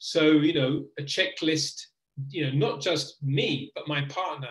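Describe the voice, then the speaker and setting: At a fairly slow pace, a man talks in a plain, everyday voice. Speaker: teacher trainer. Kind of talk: webinar presentation.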